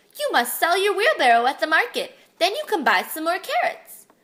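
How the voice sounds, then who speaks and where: Putting on a character voice, a woman speaks at a fairly quick pace with extremely high pitch and very wide pitch swings. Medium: read story.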